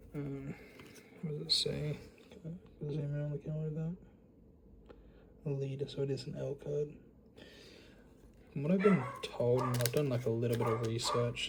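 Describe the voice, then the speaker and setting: With noticeable background noise, a man of medium pitch talks at a moderate pace with ordinary pitch variation and long, frequent pauses. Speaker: YouTuber, card collector. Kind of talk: casual unboxing commentary. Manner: casual, hesitant with fillers.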